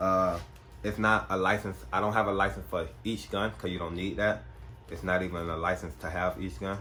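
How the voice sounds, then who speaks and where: Speaking at a moderate pace in a very deep, low pitch, a man has a bright, sharp tone, vocal fry and ordinary pitch variation, with audible room echo. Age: 20s. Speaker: gun vlogger. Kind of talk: casual Q&A vlog. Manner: soft-spoken, sometimes talks low.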